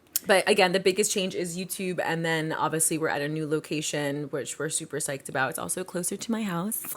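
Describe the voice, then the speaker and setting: A woman talks very fast at a fairly low pitch with ordinary pitch variation. Noticeable background noise runs underneath. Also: hardly any pauses. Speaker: podcast co-host. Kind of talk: casual chat.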